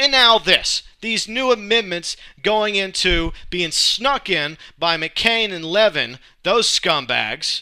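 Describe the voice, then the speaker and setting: Recorded very cleanly against a silent background, a man with an American accent uses a raised, projected voice, bright and sharp in tone, with lively intonation. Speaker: alternative talk show host. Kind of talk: political rant monologue. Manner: rambling, not eloquent.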